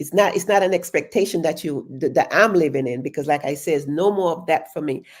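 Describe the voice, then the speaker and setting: A woman speaks in an unremarkable speaking voice, fairly low in pitch with ordinary pitch variation. She leaves hardly any pauses. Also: fairly quick pace. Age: 60s. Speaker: livestream talk show host. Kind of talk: casual livestream monologue. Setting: live stream on social media.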